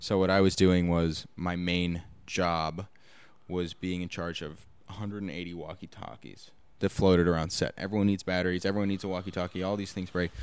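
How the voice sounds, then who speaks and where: A man's very deep, low voice at a moderate pace, flat and monotone, on a very clean recording with a silent background. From Los Angeles. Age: 20s. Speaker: actor and producer. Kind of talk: casual interview chat. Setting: studio.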